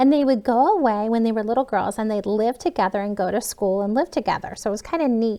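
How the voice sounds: The clip has a natural reading voice whose pitch varies in an ordinary way.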